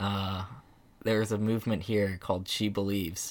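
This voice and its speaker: A man's fairly low voice, flat and monotone, at a fairly slow pace, in a very clean recording with a silent background. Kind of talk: casual chat. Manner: relaxed, mellow.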